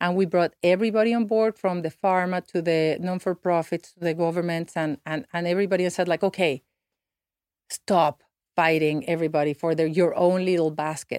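A woman with a Spanish accent, fairly even intonation, and a dry, close sound with no echo. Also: fairly low pitch for a woman. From Mexico. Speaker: nonprofit founder and former diplomat. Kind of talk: interview. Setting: studio.

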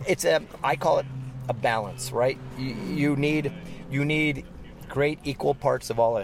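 A man with a fairly high voice speaks at a fairly slow pace with long, frequent pauses. His intonation is fairly even, with noticeable background noise behind him. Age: 50s. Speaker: racing driver. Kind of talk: interview.

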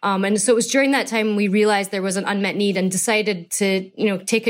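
Words come at a very fast pace from a woman with medium pitch. Her intonation is monotone and flat. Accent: Scottish. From Scotland. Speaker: fashion entrepreneur. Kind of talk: interview conversation.

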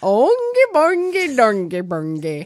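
At a fairly slow pace, a fairly high-pitched put-on character voice is performed. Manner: playful, nonsense.

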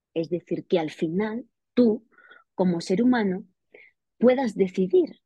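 At a very slow pace, a woman speaks in a somewhat breathy, dark, mellow tone with ordinary pitch variation. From Spain, Extremadura. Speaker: investigative journalist and author. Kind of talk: interview.

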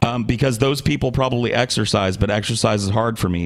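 A man speaks at a very fast pace, at a medium pitch with ordinary pitch variation. Noticeable background noise sits behind him. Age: 30s. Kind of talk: casual chat.

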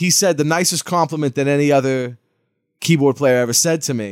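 Ordinary pitch variation and an American accent mark a normal speaking voice, heard on a very clean recording with a silent background. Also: man. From Massachusetts (Lawrence). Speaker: funk keyboardist and author. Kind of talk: casual chat.

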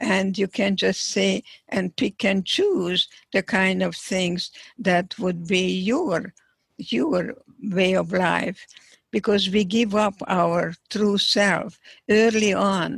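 At a very slow pace, a woman with medium pitch and vocal fry keeps her loudness very even, the sound dry and close with no echo. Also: ordinary pitch variation. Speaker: psychologist, Holocaust survivor. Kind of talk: interview.

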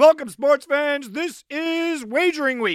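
A man's raised, projected voice at a moderate pace, on a very clean recording with a silent background. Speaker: sports betting radio host. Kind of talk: sports talk radio monologue. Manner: animated.

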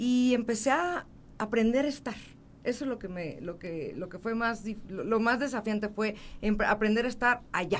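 A woman uses an ordinary speaking voice, fairly high in pitch and with ordinary pitch variation. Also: moderate pace. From Mexico City. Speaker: motivational speaker and author. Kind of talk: interview. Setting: studio.

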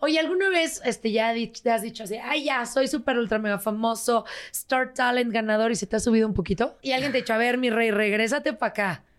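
A woman talks fairly quickly with hardly any pauses, in an animated tone. Her pitch sits fairly high, with ordinary variation. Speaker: podcast host. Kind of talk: casual chat.

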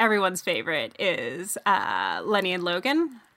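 With lively intonation, a woman uses a normal speaking voice and keeps a moderate pace. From Canada, Toronto. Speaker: sports journalist and podcaster. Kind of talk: casual chat.

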